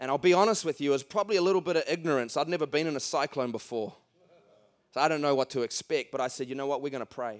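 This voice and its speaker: A man in a New Zealand accent, very fast, fairly high-pitched with ordinary pitch variation, in a dry, close sound with no echo. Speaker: evangelist. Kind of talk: sermon. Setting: church. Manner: animated.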